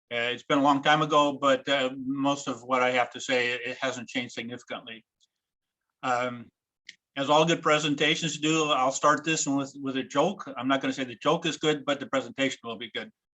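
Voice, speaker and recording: A man's fairly high voice with an American accent, fairly even intonation and a fairly quick pace. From United States. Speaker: former German instructor. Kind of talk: presentation. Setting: video call. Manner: halting.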